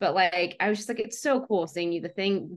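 A woman talks at a fairly quick pace in a medium pitch. She has a plain, everyday voice. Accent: American. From US South (suburban Atlanta, Georgia). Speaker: letterpress designer and business owner. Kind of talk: casual interview chat.

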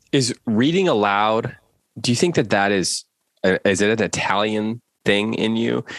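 A man with an unremarkable speaking voice talks at a moderate pace and a fairly low pitch, with ordinary pitch variation, very even loudness, and a dry, close sound with no echo. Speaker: podcast host. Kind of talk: casual interview.

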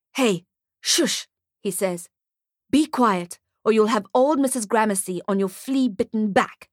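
In a natural voice with ordinary pitch variation, someone reads aloud against a quiet background.

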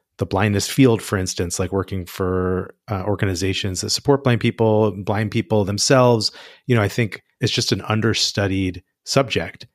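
Speaking in an ordinary speaking voice, a man with a fairly low pitch keeps a moderate pace and fairly even intonation, recorded with a dry, close sound and no echo. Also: very clean recording, silent background. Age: 40s. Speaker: author and journalist. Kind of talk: interview.

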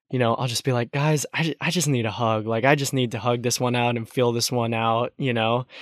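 Over a quiet background, a man with an American accent and a plain, everyday voice talks at a fairly quick pace and medium pitch with fairly even intonation. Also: dry, close sound with no echo. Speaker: host's son, college student. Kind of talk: casual chat. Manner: laughs often.

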